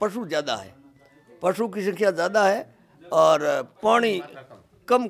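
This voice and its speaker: The voice has vocal fry and moves at a fairly slow pace. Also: man. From Rajasthan, Barmer district; Rajasthan. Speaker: villager. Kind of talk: street interview. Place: home room. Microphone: handheld.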